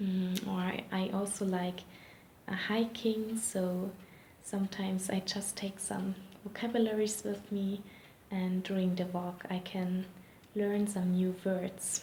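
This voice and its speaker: A non-native accent comes through at a fairly slow pace over noticeable background noise. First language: not English. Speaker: interviewee sharing language tips. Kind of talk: interview answers. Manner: hesitant, many fillers.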